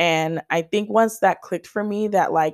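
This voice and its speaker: Lively intonation and an animated tone at a moderate pace, in a dry, close, echo-free recording with a very clean, silent background. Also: woman. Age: 20s. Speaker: blogger and podcast host. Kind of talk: casual solo monologue. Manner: animated, rambling.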